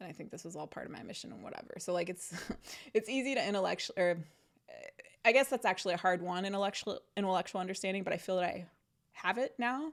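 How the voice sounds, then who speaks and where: Speaking at a very fast pace, a woman with medium pitch shows big swings in loudness. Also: ordinary pitch variation. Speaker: podcast host. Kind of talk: casual monologue. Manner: rambling, hesitant with fillers; softening voice.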